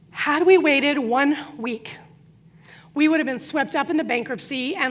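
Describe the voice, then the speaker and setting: A woman's high voice with ordinary pitch variation, a moderate pace and audible room echo. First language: Croatian. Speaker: business coach. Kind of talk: conference talk.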